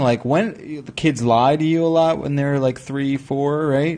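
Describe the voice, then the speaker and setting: A man with a fairly high pitch speaks in an unremarkable speaking voice. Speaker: podcast host. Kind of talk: casual chat. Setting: studio. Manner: joking banter.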